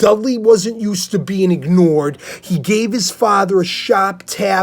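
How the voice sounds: A natural reading voice carries the text. The pitch shows ordinary variation.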